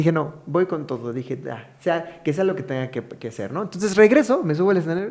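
Over noticeable background noise, a man talks at a fairly quick pace and high pitch, with lively intonation and hardly any pauses. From Mexico, Hidalgo. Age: 30s. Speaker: stand-up comedian. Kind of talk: casual chat.

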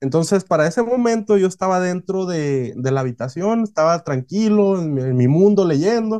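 This man's voice has a dark, mellow tone, a high pitch and lively intonation. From northwestern Mexico (Hermosillo, Sonora). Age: 20s. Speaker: novelist and sushi chef. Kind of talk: interview.

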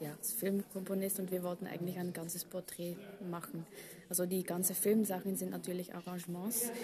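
A woman speaks at a medium pitch in a monotone, with flat intonation. Noticeable background noise runs underneath. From Belgium. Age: 30s. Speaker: orchestral harpist. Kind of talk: interview. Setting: backstage after a concert. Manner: hesitant with frequent fillers.

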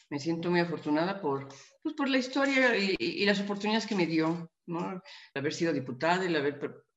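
Her pitch is fairly low. The woman talks at a moderate pace. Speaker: politician. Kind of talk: interview. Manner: halting.

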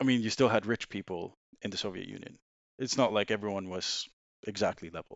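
A man with a Swedish accent talks at a fairly quick pace in a fairly low pitch, his intonation fairly even but his loudness swinging widely. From Sweden. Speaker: former banker. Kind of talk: casual chat.

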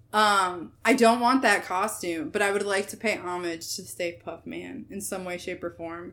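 At a moderate pace with hardly any pauses, a woman speaks at medium pitch in a bright, sharp tone, her loudness swinging widely. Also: very clean recording, silent background. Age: 20s. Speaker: podcast co-host. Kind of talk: casual chat. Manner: animated.

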